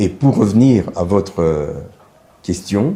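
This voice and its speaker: The pace is very slow. The speaker is a man. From DR Congo, Katanga. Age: 70s. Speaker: university rector and medical professor. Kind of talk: interview. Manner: formal.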